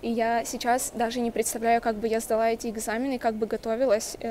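A woman speaks at a moderate pace and a fairly high pitch. Light background noise is present. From Russia. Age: young. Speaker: university student. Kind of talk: testimonial. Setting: university building. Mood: calm, encouraging. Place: hall. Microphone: earbuds.

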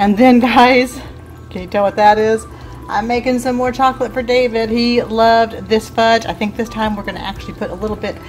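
Faint music plays in the background. A woman talks at a fairly quick pace with monotone, flat intonation. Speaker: home cooking vlogger. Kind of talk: casual vlog chat. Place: kitchen. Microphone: phone near.

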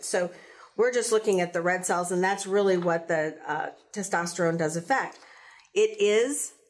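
With an American accent, a woman speaks with ordinary pitch variation and long, frequent pauses. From US South. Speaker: physician, hormone therapy doctor. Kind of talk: educational health podcast chat. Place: studio.

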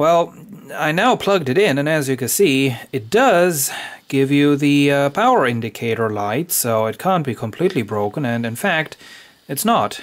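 Speaking at a medium pace, a man delivers the clip. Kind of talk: tutorial. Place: workshop. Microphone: phone near.

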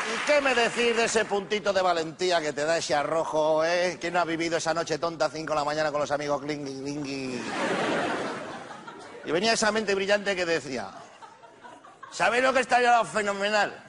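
A man with a high voice speaks in an animated tone at a fairly quick pace, his intonation lively. Long, frequent pauses break up his speech, and noticeable background noise runs underneath. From Spain. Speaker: stand-up comedian. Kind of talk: stand-up comedy monologue to a live audience. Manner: humorous, animated, comic delivery. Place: stage.

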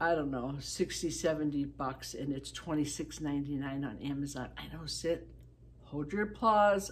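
A woman with vocal fry talks at a fairly slow pace, her pitch varying in an ordinary way. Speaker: product reviewer. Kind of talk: casual vlog chat. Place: home room. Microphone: phone near.

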